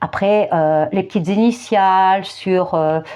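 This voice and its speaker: A woman speaks at a very slow pace with a medium pitch, ordinary pitch variation and a dark, mellow tone. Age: 50s. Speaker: youtuber and therapist. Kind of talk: commentary monologue. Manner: hesitant, repetitive.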